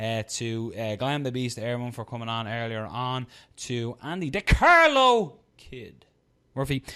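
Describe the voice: A loud man at a medium pitch, with lively intonation, a clear, smooth tone and a bright, sharp edge, on a very clean recording with a silent background. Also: fairly slow pace.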